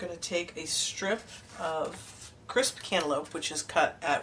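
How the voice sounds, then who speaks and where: There's noticeable background noise as a woman speaks in a fairly low voice. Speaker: card-making demonstrator. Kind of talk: tutorial. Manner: casual, hesitant with fillers.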